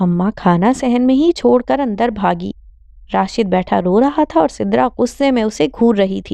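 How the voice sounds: The voice is a natural reading voice. It stays that way throughout.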